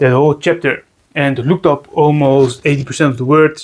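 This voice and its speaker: At a moderate pace, a man with a Dutch accent talks with a fairly high pitch. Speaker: reptile keeper, video creator. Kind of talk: casual tutorial vlog. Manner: halting, many repetitions and fillers.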